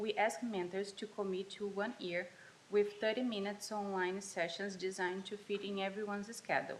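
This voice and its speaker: The speaker has a Portuguese accent, fairly even intonation and a moderate pace. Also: woman. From Brazil. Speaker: college student. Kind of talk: student presentation. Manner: halting, self-correcting.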